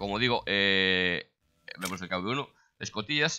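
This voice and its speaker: Lively intonation marks this man's speech. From Galicia, Spain (A Coruña). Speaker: gaming YouTuber. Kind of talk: gameplay tutorial. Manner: hesitant, many fillers.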